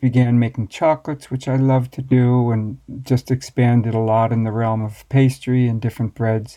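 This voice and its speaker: Over a quiet background, a man with an American accent speaks at a moderate pace and medium pitch, his tone dark and mellow and his intonation flat and monotone. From USA. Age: 60s. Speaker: master baker and baking teacher. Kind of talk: interview. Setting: remote call across the Atlantic.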